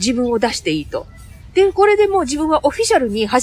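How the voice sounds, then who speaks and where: Against noticeable background noise, a woman talks at a very fast pace with very wide pitch swings. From Aichi, Japan (Kiyosu, near Nagoya). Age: 50s. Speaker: English conversation school owner. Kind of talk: interview. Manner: animated.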